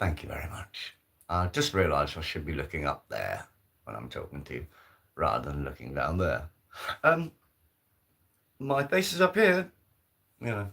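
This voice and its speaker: A man talks at a moderate pace with long, frequent pauses, recorded very cleanly against a silent background. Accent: Brummie. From Birmingham, English Midlands. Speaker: live stream host. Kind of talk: casual solo live stream chat. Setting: solo live stream on camera. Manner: hesitant, repetitive fillers.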